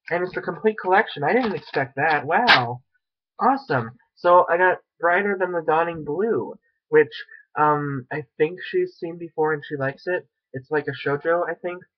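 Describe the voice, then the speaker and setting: A high-pitched man at a moderate pace with ordinary pitch variation, against a quiet background. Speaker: anime fan vlogger; unboxing vlogger. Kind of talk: unboxing video. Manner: animated. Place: home room. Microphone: webcam.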